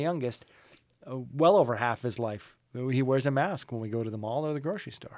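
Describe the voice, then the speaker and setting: A man with a Canadian accent has a normal speaking voice, showing ordinary pitch variation and big swings in loudness. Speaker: radio morning show host. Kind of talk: casual chat.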